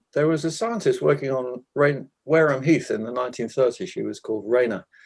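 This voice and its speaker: Fairly quick speech from a man at medium pitch, with ordinary pitch variation. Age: 60s. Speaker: gardening author. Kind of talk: talk presentation. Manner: hesitant, repeats words.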